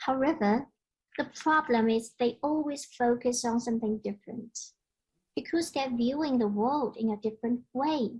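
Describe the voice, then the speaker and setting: Speaking in a Chinese accent at a moderate pace, a woman's voice is high in pitch with ordinary pitch variation. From China. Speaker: conference speaker, parent and columnist. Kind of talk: conference presentation.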